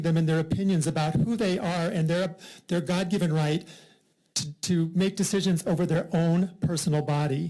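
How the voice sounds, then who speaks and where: In an American accent, this voice has a dark, mellow tone, ordinary pitch variation and a moderate pace. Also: man. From US Midwest, rural Iowa. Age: 60s. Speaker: member of the public testifying. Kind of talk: legislative hearing testimony. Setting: legislative committee hearing room.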